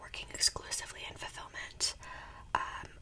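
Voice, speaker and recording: Whispering at a moderate pace, a woman uses a soothing tone against noticeable background noise. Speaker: ASMR creator; part-time retail worker and full-time student. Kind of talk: whispered ramble while eating, casual talk to camera. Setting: home recording with a desktop USB microphone. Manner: whispering, soothing, chatty.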